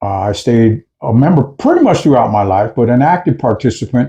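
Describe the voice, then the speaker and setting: Against a quiet background, a man with an American accent speaks in a dark, mellow, somewhat breathy tone. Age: 60s. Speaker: videocast co-host, activist. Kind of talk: casual discussion.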